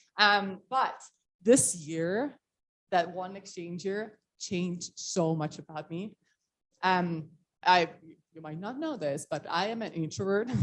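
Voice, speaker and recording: A woman with an Estonian accent speaks at a very slow pace, leaving long, frequent pauses. Her loudness swings widely. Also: medium pitch for a woman, ordinary pitch variation. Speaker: motivational speaker. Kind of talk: talk to a meeting. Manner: casual, filler-heavy.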